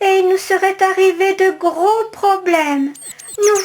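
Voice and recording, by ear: Intonation stays fairly even as text is read aloud in a natural voice.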